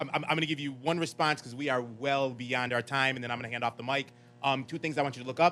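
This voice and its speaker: Music plays in the background as the speaker talks at a very fast pace with fairly even intonation. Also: man. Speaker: marketing agency CEO. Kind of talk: panel discussion answer.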